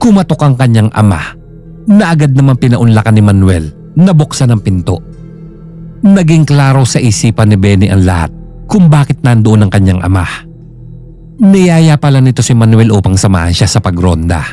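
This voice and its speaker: Music plays behind a man speaking at a moderate pace. His loudness stays very even while his pitch swings very widely. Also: medium pitch for a man. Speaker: storyteller. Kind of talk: horror story narration.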